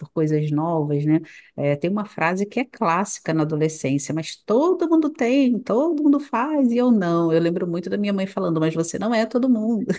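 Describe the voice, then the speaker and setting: A woman with a Rio de Janeiro accent and a dark, mellow tone. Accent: Rio de Janeiro (carioca). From Brazil, Rio de Janeiro. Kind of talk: casual chat.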